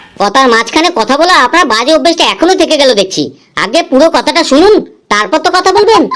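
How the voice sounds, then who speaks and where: A cartoonish character voice, high-pitched and at a fairly quick pace. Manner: cheeky, teasing.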